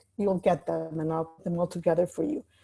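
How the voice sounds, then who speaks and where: A woman's somewhat breathy voice with a dark, mellow tone, at a fairly quick pace, on a very clean recording with a silent background. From Mexico City, Mexico. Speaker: life coach. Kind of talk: talk. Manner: fast.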